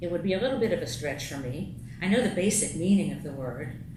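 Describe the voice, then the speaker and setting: Lively intonation at a fairly quick pace, with audible room echo and noticeable background noise. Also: woman. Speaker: lay speaker giving a talk at a congregation. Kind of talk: sermon-style talk read from paper.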